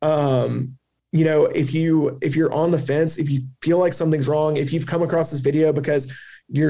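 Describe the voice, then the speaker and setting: A man's fairly high voice in a Southern US accent, dark and mellow in tone, with fairly even intonation at a fairly quick pace. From US South. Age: 20s. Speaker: cancer survivor and advocate. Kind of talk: interview testimony.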